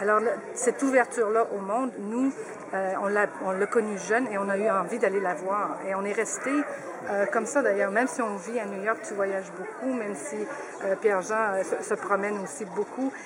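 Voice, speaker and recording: There is noticeable background noise as a woman speaks at a medium pitch. Her pace is moderate and her pitch variation ordinary. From Quebec, Saguenay. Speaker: family member of a guest of honour. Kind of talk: radio interview.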